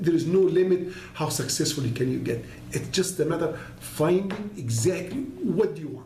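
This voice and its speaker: Amid noticeable background noise and audible room echo, a man speaks fairly quickly in a high voice with lively intonation. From Egypt, Alexandria. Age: 60s. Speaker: entrepreneur. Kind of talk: interview.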